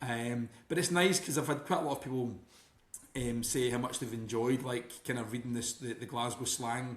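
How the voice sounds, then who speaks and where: A man speaks with a Scottish accent. His pitch is medium and his pace moderate. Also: ordinary pitch variation. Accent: Scottish, milder than very broad. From Scotland. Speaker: author. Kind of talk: podcast interview.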